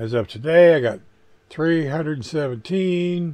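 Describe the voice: With a slightly mellow tone and ordinary pitch variation, a man speaks at a fairly high pitch.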